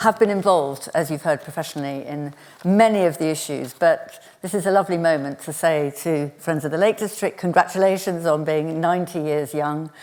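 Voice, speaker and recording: The speaker moves at a fairly quick pace with ordinary pitch variation, and there is noticeable background noise. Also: woman, fairly low pitch for a woman. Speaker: panel chair and conservationist. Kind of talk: lecture. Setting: lecture theatre with audience.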